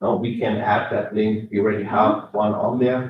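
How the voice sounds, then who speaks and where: The speaker has a German accent and a moderate pace. The intonation is flat and monotone. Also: man. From Germany. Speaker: state transportation engineer. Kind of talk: public meeting Q&A.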